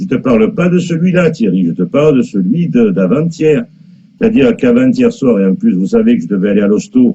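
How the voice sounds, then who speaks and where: With a dark, mellow tone, a man speaks at fairly high pitch, his pitch swinging very widely while his loudness stays very even. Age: 60s. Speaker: live streamer. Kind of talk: casual live stream chat. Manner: animated.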